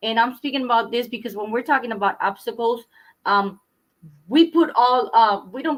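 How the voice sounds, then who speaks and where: Her pitch is fairly high for a woman, with ordinary variation, and she speaks at a fairly quick pace. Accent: non-native. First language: not English. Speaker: trauma recovery coach. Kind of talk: talk show conversation. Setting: YouTube livestream. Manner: halting.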